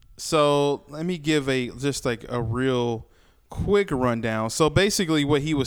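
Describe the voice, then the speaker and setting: Animated in tone, a man speaks at a fairly slow pace and a fairly high pitch, with ordinary pitch variation. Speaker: podcast host. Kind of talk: casual chat. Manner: animated, joking.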